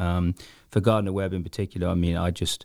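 With an English Midlands accent, a man speaks at a very fast pace in a very deep, low pitch and a dark, mellow tone, recorded very cleanly with a silent background and a dry, close sound with no echo. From Coventry, England. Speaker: soccer coach. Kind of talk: casual interview.

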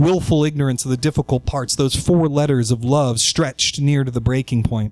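This man has a normal speaking voice with an American accent and a medium pitch. He talks at a fairly quick pace. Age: 30s. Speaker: writer. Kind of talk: personal essay read aloud.

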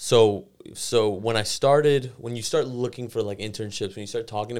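A man with a normal speaking voice, medium in pitch, with fairly even intonation. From US, Iranian immigrant family. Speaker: podcast guest, sports business worker. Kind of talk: casual chat. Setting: studio.

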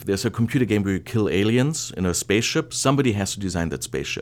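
A man with a German accent, fairly low in pitch, with lively intonation. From Germany. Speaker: interior design professor and department chair. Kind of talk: interview.

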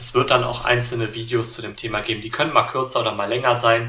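In audible room echo, a man's medium-pitched voice holds fairly even intonation. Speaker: tech YouTuber and podcaster. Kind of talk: solo tech podcast monologue. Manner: many filler sounds (äh, ähm).

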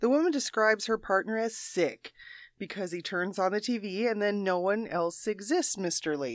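In a very clean recording with a silent background and a dry, close sound with no echo, a woman with an unremarkable speaking voice talks at a moderate pace in a medium pitch with lively intonation. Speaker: quiz show panelist. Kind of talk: casual comedic banter. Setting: studio.

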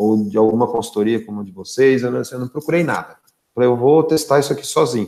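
Dark, mellow tone in a medium-pitched male voice. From interior of São Paulo state, Brazil (São Carlos). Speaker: sales director. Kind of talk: live-stream interview.

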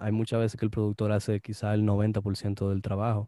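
In a very clean recording with a silent background, a man with a fairly low pitch and a dark, mellow tone speaks at a fairly slow pace. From Dominican Republic. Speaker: music producer. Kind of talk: casual interview.

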